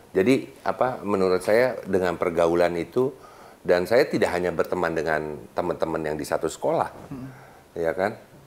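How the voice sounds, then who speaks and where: A man with a very deep, low pitch talks at a moderate pace with lively intonation. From Bandung, West Java. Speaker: business leader and chamber of commerce official. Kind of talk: casual interview chat. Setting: studio. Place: studio.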